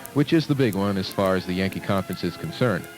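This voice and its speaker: A man speaks at a fairly quick pace with lively intonation. Music plays in the background. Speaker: college radio sports announcer. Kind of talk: sports broadcast football preview.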